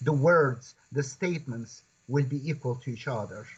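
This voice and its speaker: A man with a Kurdish-Turkish accent and lively intonation. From Turkey, Kurdish region. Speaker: professor and Quran translator. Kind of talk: interview conversation. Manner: halting.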